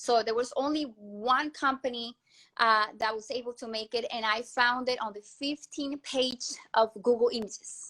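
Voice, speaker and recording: In a Colombian accent, a woman with a high pitch and a bright, sharp tone talks at a moderate pace with fairly even intonation, on a very clean recording with a silent background. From Colombia, Cúcuta. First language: Spanish. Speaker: entrepreneur and inventor. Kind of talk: interview. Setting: live stream interview. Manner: hesitant, many fillers and repetitions.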